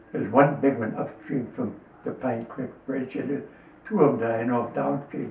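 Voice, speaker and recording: A man with an American accent speaks at a moderate pace in a medium pitch. His pitch varies in an ordinary way, with noticeable background noise behind him. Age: 80s+. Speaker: lifelong local fisherman. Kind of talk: interview answer, reminiscing.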